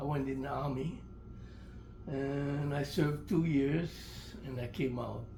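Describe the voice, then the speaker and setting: Fairly slow, monotone, flat delivery from a man with a fairly high voice, long, frequent pauses and audible room echo. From Hawaii (Honolulu, Oahu). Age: 90s. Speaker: elderly interviewee telling life stories. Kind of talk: oral history interview. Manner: halting, repeats words.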